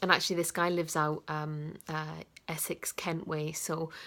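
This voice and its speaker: A woman with a northeast English accent speaks in a very deep, low pitch. Her monotone, flat delivery keeps a moderate pace on a very clean recording with a silent background. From northeast England. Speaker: coach. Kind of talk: casual vlog talk to camera. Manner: hesitant, many fillers.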